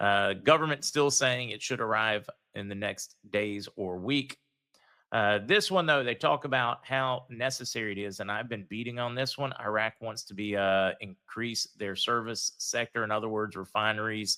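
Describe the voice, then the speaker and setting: On a very clean recording with a silent background, a man speaks at a medium pitch in a bright, sharp tone with ordinary pitch variation. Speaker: livestream host, currency news commentator. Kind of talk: live stream news commentary. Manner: fast; casual, many fillers.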